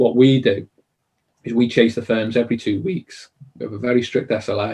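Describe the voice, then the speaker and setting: A man's medium-pitched, somewhat breathy voice with a dark, mellow tone, fairly even intonation, a fairly quick pace and a Liverpool accent. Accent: Liverpool (Scouse). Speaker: conveyancing service provider. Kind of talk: interview Q&A. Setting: live online stream.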